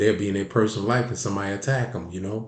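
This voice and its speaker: A man's animated, somewhat breathy voice in a Baltimore accent, with audible room echo. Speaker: sports commentary channel host. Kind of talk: opinion commentary monologue. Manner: animated, repetitive with frequent restarts.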